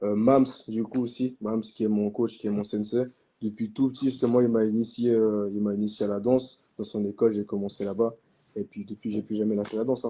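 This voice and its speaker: A dark, mellow tone at a fairly quick pace, with monotone, flat intonation. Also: man, fairly low pitch for a man. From Switzerland, Vevey (French-speaking). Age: 20s. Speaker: hip-hop dancer. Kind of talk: casual interview. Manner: hesitant, many fillers.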